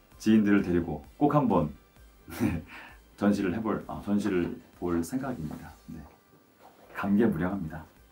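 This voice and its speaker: A man with a fairly low voice speaks at a fairly slow pace, with long, frequent pauses and lively intonation. His loudness swings widely, and faint music plays in the background. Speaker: voice actor. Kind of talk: interview answer. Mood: warm, pleased, smiling. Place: studio.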